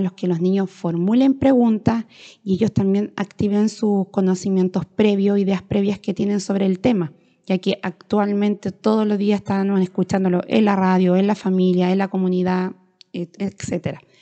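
With fairly even intonation, a woman's voice holds a medium pitch. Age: 30s. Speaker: rural schoolteacher. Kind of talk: educational monologue. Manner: hesitant, with fillers.

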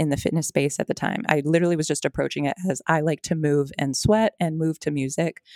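In a very clean recording with a silent background, a woman speaks fairly quickly at a fairly low pitch. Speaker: fitness trainer. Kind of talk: casual interview chat.

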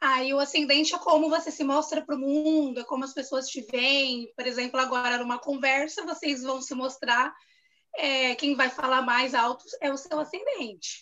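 A woman speaks in a raised, projected voice at a high pitch, her pace moderate and her intonation fairly even. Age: 30s. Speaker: journalist. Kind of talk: casual chat.

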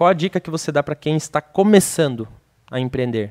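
On a very clean recording with a silent background and a dry, close sound with no echo, a man talks very fast at a fairly high pitch with ordinary pitch variation. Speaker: podcast co-host. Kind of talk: casual chat. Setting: studio.

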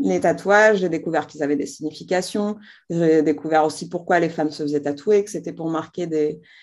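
In a normal speaking voice, the words come at a moderate pace with ordinary pitch variation. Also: woman. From Algeria, Algiers. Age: 30s. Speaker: entrepreneur, brand founder. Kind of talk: interview.

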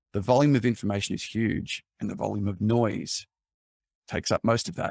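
A man with an Australian accent talks at a fairly quick pace in a calm tone, his fairly low voice showing vocal fry on a dry, close recording with no echo. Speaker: cybersecurity executive, former journalist. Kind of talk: interview.

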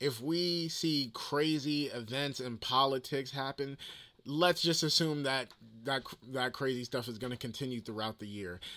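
On a very clean recording with a silent background, a man speaks with a New Jersey accent. His pitch varies in an ordinary way. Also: medium pitch for a man, moderate pace. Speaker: podcaster. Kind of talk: casual solo podcast monologue. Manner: casual, conversational.

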